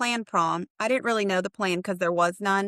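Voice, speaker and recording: On a very clean recording with a silent background and a dry, close sound with no echo, a woman with an American accent speaks in a bright, sharp tone at medium pitch with ordinary pitch variation. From US military brat, high school in Oklahoma. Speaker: radiation therapy leader. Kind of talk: casual interview. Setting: call.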